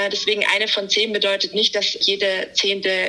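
With noticeable background noise, a woman speaks at medium pitch and a moderate pace with fairly even intonation. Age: 30s. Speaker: podcast guest, endometriosis patient. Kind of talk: casual interview. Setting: remote call from holiday.

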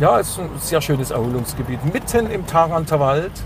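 Noticeable background noise sits behind a man with a fairly high pitch. He speaks at a moderate pace with lively intonation. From Saxony, Dresden. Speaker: radio DJ and local politician. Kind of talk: casual interview.

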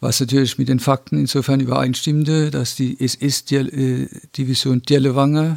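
Here a man talks at a medium pitch and a fairly slow pace. His intonation is monotone and flat. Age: 60s. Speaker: descendant of Nazi persecution victim. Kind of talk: interview testimony. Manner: halting, frequent hesitations.

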